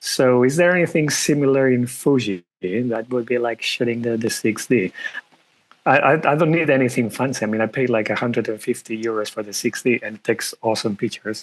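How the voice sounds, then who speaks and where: With a non-native accent, a man talks at a fairly quick pace in a medium pitch. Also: ordinary pitch variation. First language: not English. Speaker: photographer. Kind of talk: casual Q&A. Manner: halting.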